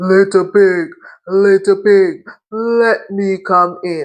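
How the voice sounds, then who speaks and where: Putting on a gruff character voice with a high pitch, a man speaks very slowly. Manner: bullying, gruff.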